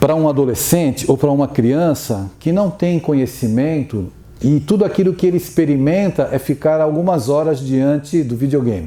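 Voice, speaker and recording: Noticeable background noise sits behind a man speaking at a fairly high pitch. He keeps a moderate pace and lively intonation. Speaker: spiritist lecturer. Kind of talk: lecture.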